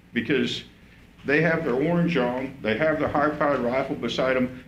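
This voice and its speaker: A man with an American accent, at a moderate pace and medium pitch, with fairly even intonation, very even loudness and audible room echo. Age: 60s. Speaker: coyote hunter speaking at public comment. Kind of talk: public comment at a commission meeting. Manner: halting, repetitive.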